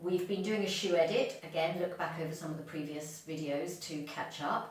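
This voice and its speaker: A woman speaks at a moderate pace in a very deep, low pitch, with ordinary pitch variation. There is noticeable background noise and audible room echo. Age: 60s. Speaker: fashion vlogger. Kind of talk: casual video talk. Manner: hesitant, many ums.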